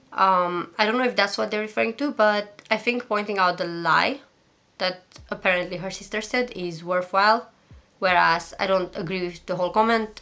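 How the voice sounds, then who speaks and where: A woman with a medium-pitched voice and a bright, sharp tone speaks with a non-native accent. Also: ordinary pitch variation. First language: not English. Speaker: commentary YouTuber. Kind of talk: casual commentary to camera. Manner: fast.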